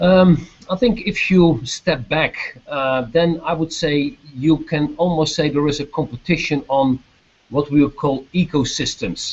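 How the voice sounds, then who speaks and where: Speaking with a Dutch accent, a man uses lively intonation in a fairly high, somewhat breathy voice. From Netherlands. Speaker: business executive. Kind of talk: video chat Q&A with students. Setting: video call. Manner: hesitant, many fillers.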